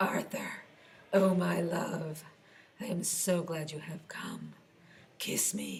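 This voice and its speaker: A woman puts on a raspy character voice at a very slow pace. Her pitch sits fairly low. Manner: seductive.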